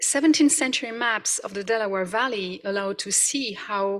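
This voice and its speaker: A woman with a French accent speaks at a medium pitch with lively intonation. Noticeable background noise is present. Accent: non-native, French. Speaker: professor. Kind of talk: conference presentation. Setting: conference hall with audience. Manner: hesitant, with fillers.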